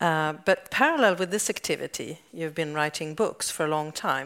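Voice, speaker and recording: A woman speaks with a Swedish accent in a very deep, low pitch. The recording is very clean, with a silent background. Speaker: science journalist, interviewer. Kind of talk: stage interview. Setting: stage with audience.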